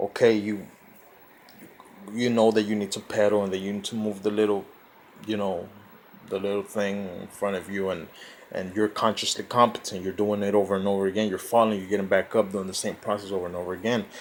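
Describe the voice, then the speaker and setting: Speaking at a fairly quick pace yet with long, frequent pauses, a man holds a flat, monotone delivery in a fairly low pitch. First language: Spanish. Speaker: self-help vlogger. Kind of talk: informal lecture. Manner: halting.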